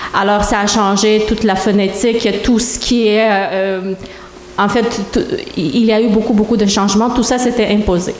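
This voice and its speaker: A woman with a fairly high pitch speaks at a fairly slow pace with very even loudness and fairly even intonation, amid audible room echo and noticeable background noise. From Moldova. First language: Romanian (speaking French). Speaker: church member giving testimony. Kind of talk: testimony. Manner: halting.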